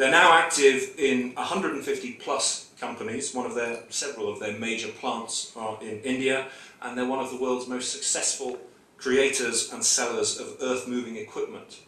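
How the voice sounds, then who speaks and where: With a British accent, a man speaks at a moderate pace amid noticeable background noise and audible room echo. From United Kingdom. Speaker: trade official, speaker at ceremony. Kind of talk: ceremony speech.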